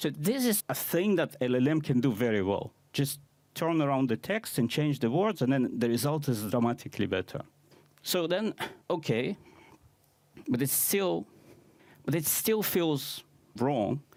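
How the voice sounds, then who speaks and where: In a non-native accent, the speaker goes at a moderate pace with very wide pitch swings, very even loudness, and long, frequent pauses. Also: man, fairly high pitch for a man. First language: not English. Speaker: conference speaker, AI consultant. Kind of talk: conference talk.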